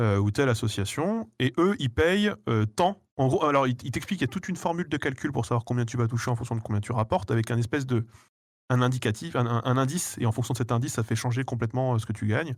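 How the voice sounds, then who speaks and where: A man's medium-pitched voice with ordinary pitch variation at a very fast pace. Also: very clean recording, silent background. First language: not French (speaking French). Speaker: YouTuber, guest. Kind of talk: casual interview chat.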